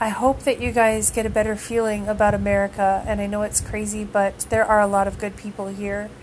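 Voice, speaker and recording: Over noticeable background noise, a woman talks at a moderate pace. Her pitch is medium and her intonation is monotone and flat. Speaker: podcast host, music fan. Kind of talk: casual monologue. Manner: rambling, hesitant with fillers.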